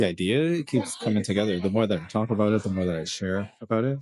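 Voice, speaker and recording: A man mumbles at a moderate pace. His pitch varies in an ordinary way. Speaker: vlogger. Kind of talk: casual video log. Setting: kid's birthday party in an escape room. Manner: mumbling; halting.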